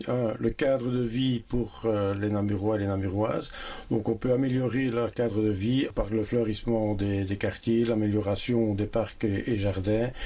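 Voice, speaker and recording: A man talks fairly slowly in a fairly low, monotone, flat voice. Noticeable background noise is present. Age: 60s. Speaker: local election candidate. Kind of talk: interview.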